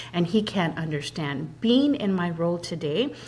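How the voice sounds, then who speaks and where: Her fairly low, somewhat breathy voice swings very widely in pitch. The woman keeps a moderate pace. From immigrant, came to US at about 8, non-English-speaking home. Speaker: credit union executive. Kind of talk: interview.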